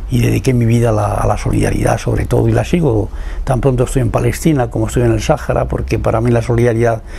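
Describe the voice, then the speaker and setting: Noticeable background noise sits behind the speaker. He is a man talking at a very fast pace. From Spain, Salamanca then Madrid. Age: 90s. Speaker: poet and former political prisoner. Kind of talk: interview testimony. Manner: halting, with repetitions.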